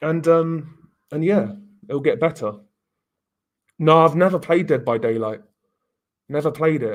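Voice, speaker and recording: The speaker has a southern English accent and talks at a fairly slow pace. Long, frequent pauses break up the speech. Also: man, fairly high pitch for a man, ordinary pitch variation. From England. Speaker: live streamer. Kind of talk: casual live-stream chat reading comments. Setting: live stream with webcam.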